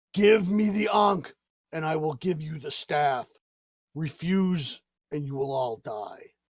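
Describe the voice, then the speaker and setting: A man puts on a character voice. He speaks at a fairly slow pace and a fairly high pitch. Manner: menacing, threatening.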